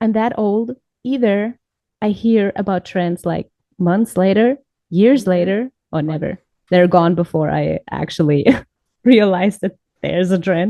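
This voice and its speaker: With a German accent, a woman of medium pitch speaks at a fairly slow pace in a dark, mellow tone, with ordinary pitch variation, long, frequent pauses, and a dry, close sound with no echo. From Germany, Munich. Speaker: podcast co-host. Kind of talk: casual chat.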